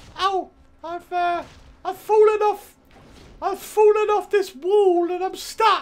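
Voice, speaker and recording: Someone puts on a character voice with an extremely high pitch. The pace is fairly slow, broken by long, frequent pauses. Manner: timid.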